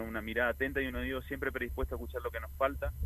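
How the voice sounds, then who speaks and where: Very wide pitch swings and vocal fry mark this man's voice. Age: 40s. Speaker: politician. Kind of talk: interview. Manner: halting.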